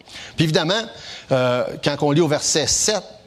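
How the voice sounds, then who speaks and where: Fairly slow speech against noticeable background noise. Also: man. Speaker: preacher. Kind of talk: sermon.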